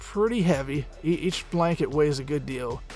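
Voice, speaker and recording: Background music plays throughout. Over it, a man talks at a moderate pace. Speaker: voice actor and audiobook narrator. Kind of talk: casual narration over pictures. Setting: home studio.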